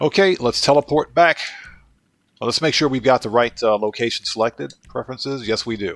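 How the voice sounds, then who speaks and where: Speaking fairly quickly with a northeastern US accent, a man with a medium-pitched voice comes through in a dry, close recording with no echo. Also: ordinary pitch variation. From US Northeast (Baltimore, Maryland). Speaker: gaming livestreamer. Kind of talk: livestream gameplay commentary. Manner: casual, chatty.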